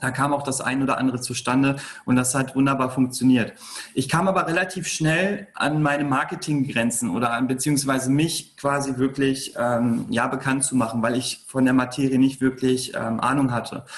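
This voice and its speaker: With ordinary pitch variation, a man speaks at a moderate pace and medium pitch in a normal speaking voice. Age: 30s. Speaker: entrepreneur. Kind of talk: interview.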